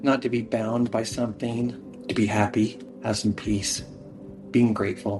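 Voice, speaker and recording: A man of medium pitch speaks at a fairly slow pace with ordinary pitch variation. Music plays in the background. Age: 60s. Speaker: interviewee sharing addiction recovery story. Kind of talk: personal testimony interview. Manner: halting, with fillers and restarts.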